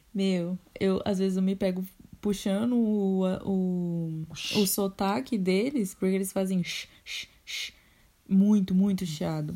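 On a very clean recording with a silent background, a woman talks at a very slow pace in a somewhat breathy voice with a dark, mellow tone, medium pitch and fairly even intonation. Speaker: podcast host. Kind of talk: casual chat.

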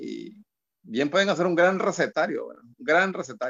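Here is a man with an unremarkable speaking voice. His intonation is lively and his pace moderate. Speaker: cultural promoter and journalist. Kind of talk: casual interview.

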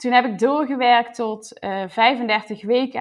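A woman speaks with a high pitch and fairly even intonation. The background is quiet. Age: 20s. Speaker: new mother sharing birth story. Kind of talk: personal testimony. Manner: hesitant, many fillers.

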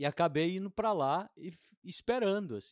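The voice swings very widely in pitch at a moderate pace. The sound is dry and close, with no echo. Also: man, very clean recording, silent background. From Brazil, Belo Horizonte. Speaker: podcast host, film director. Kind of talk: casual interview.

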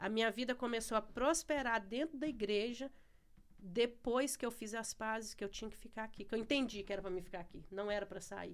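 Speaking at a fairly quick pace, a woman with an unremarkable speaking voice uses a fairly high pitch and ordinary pitch variation. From Brazil, Ceará. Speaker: church member. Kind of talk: casual chat. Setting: studio.

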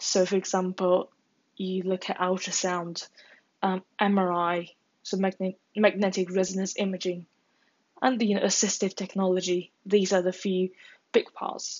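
The intonation is monotone and flat. The pace is fairly slow. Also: woman, medium pitch for a woman. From China. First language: Chinese. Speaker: podcaster and university student. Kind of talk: solo monologue podcast. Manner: casual, with hesitations.

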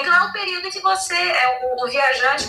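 Very wide pitch swings mark this raised, projected voice. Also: woman. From Rondônia, Brazil (born São Paulo). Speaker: journalist. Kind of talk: casual chat.

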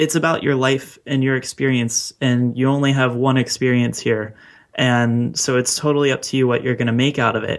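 A man's medium-pitched, monotone, flat voice at a fairly quick pace, with a Mid-Atlantic American accent, on a very clean recording with a silent background. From US, Baltimore. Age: 20s. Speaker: podcast host and entrepreneur. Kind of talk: interview, casual chat.

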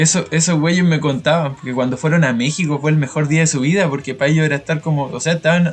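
Over music in the background, a man with a Chilean accent races along at a very fast pace in a fairly high voice, hardly pausing at all. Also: fairly even intonation. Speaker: podcast host. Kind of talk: casual chat.

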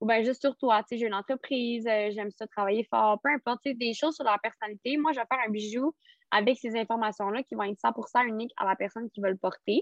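A woman's fairly high voice at a fairly quick pace. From Quebec, Rimouski. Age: 20s. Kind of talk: casual interview. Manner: hesitant, many fillers.

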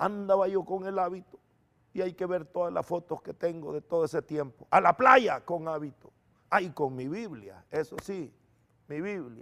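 A high-pitched man is heard. He talks fairly slowly. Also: ordinary pitch variation. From El Salvador. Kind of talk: testimony.

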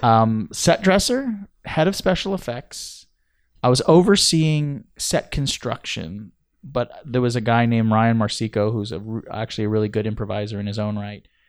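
With an American accent, a man with an unremarkable speaking voice talks at medium pitch and a moderate pace, his intonation lively. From US (second-generation Italian American). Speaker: clown and improv performer. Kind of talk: casual chat.

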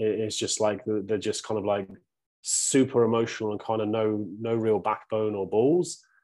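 In a British accent, a man with a dark, mellow tone and fairly low pitch speaks at a moderate pace against a quiet background. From UK. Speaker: men's coach. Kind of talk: casual chat.

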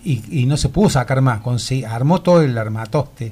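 A man's somewhat breathy voice at medium pitch. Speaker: former cinema owner, shopkeeper. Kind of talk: radio interview, reminiscing. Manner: halting, repetitive.

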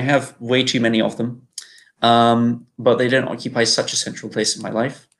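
A man speaks with a British accent. His pitch is medium and his intonation fairly even. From UK. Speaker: game developer. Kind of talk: casual chat.

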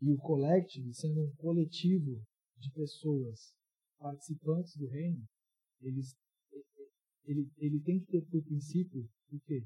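In a dry, close recording with no echo, a man speaks fairly slowly with long, frequent pauses, his fairly high voice dark, mellow and somewhat breathy with fairly even intonation. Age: 20s. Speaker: youth pastor. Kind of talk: sermon. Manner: casual, interactive.

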